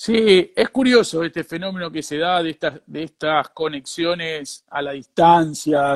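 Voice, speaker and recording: The sound is dry and close with no echo as a man talks at a fairly slow pace, with hardly any pauses and ordinary pitch variation. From Argentina, Rosario. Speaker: businessman in the food trade. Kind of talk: casual interview conversation.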